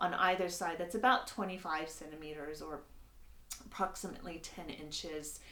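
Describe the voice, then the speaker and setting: Medium-paced speech from a woman in an American accent, audible room echo around it. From United States. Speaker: sewing instructor. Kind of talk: tutorial. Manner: casual, with many filler words.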